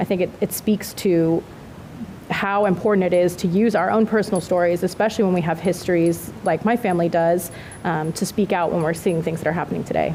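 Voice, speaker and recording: Over noticeable background noise, a woman with an American accent speaks at a fairly quick pace and a fairly low pitch. Her intonation is fairly even and her loudness very even. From Southern California. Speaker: city mayor. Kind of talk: panel discussion.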